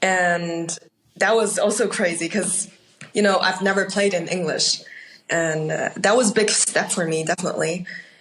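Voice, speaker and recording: Speaking with a Chinese accent, a woman uses a medium pitch, a moderate pace and fairly even intonation. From Austria. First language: Mandarin Chinese. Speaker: actor. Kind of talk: interview.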